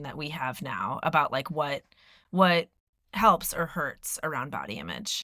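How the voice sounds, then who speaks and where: A woman with an American accent speaks at a fairly low pitch in a bright, sharp tone, with ordinary pitch variation. The recording is very clean, with a silent background. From US Northeast, Philadelphia. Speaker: podcast host. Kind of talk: casual chat.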